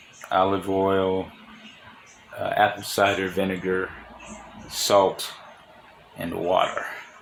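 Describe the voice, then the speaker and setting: A man with a very deep, low pitch speaks very slowly in a monotone, flat delivery, leaving long, frequent pauses. Audible room echo and noticeable background noise surround him. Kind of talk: casual talk.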